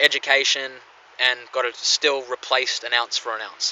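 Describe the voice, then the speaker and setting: At a moderate pace, a man talks at a medium pitch with an Australian accent. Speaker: coin collector vlogger. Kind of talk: casual vlog talk. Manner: halting, many fillers.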